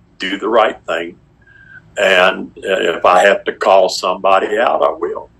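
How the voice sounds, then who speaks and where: A man speaking at a very slow pace amid noticeable background noise. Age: 70s. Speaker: victim's family member. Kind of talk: interview. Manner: halting, repeats words.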